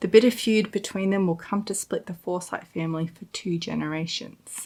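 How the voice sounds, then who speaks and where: Her plain, everyday voice sits at medium pitch for a woman, moving at a moderate pace with fairly even intonation and big swings in loudness. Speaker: book reviewer. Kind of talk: reading a book blurb aloud.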